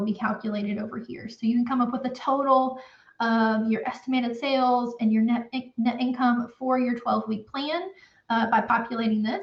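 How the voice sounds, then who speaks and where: Fairly even intonation from a woman with a fairly high pitch. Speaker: accountant for construction businesses. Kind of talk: tutorial. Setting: live stream. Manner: casual, with many fillers.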